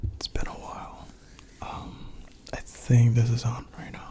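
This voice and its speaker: The speech is whispered at a fairly slow pace. Noticeable noise sits in the background. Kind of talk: casual ASMR intro to camera, catching up with viewers. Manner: soft-spoken, casual, chatty.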